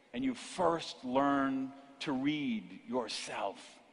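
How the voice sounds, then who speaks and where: An animated man speaks with very wide pitch swings. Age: 50s. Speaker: motivational speaker. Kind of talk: keynote speech. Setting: stage with audience.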